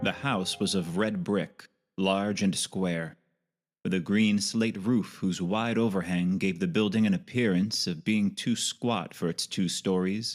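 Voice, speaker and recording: A man with a normal speaking voice talks at a fairly low pitch with ordinary pitch variation. His loudness stays very even, on a very clean recording with a silent background. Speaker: audiobook narrator. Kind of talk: audiobook narration of hardboiled detective fiction.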